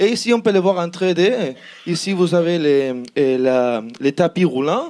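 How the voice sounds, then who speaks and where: Lively intonation carries this voice with a Spanish accent. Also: man. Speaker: student team member presenting an innovation project. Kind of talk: project pitch presentation. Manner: halting, many repetitions and fillers.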